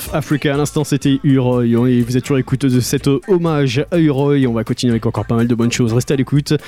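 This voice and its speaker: A man at medium pitch, very fast and with hardly any pauses, upbeat, warm tone, very even loudness, dry, close sound with no echo, music in the background. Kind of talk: radio DJ patter, French-language reggae show intros and outros between tracks. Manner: upbeat, smooth, warm 'good vibration' tone with rapid-fire track rundowns; reverent, tribute-minded tone when announcing a deceased artist.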